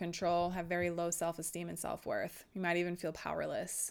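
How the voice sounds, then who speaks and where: A woman is speaking. The recording is very clean with a silent background. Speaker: wellness podcast host. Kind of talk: solo educational talk. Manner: calm, soothing.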